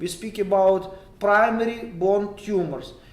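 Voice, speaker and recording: Someone with a Ukrainian accent talks over noticeable background noise, with audible room echo. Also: man. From western Ukraine. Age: 30s. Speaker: oncologist. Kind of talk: lecture. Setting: online meeting. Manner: halting.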